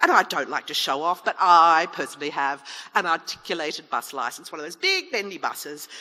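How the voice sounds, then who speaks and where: Speaking at a fairly quick pace, a woman's volume rises and falls sharply over noticeable background noise. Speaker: chief executive officer. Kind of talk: public debate speech. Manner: humorous, lively.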